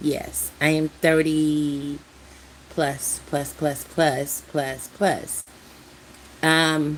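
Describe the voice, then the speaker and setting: A woman speaks in a very deep, low pitch. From USA. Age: 60s. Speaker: YouTuber. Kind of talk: casual live stream chat. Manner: halting, repetitive.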